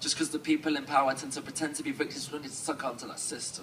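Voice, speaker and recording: Over noticeable background noise, a man with an English accent rushes along at a very fast pace. His pitch is fairly high, with ordinary variation. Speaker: slam poet. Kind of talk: spoken word performance.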